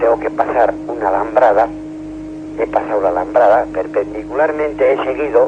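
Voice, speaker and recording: A man at a moderate pace, over noticeable background noise. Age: 60s. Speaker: caller. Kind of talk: radio call-in story. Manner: halting.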